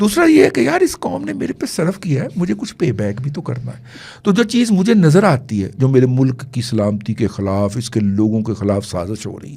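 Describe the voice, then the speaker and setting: A man's dark, mellow, somewhat breathy voice with very wide pitch swings, big swings in loudness and hardly any pauses. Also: medium pitch for a man, moderate pace. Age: 60s. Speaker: political commentator. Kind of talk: podcast political discussion.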